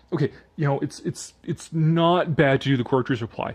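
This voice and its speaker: Against a quiet background, a man is speaking. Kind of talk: casual talk to camera, live commentary on an article. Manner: casual, conversational, sarcastic.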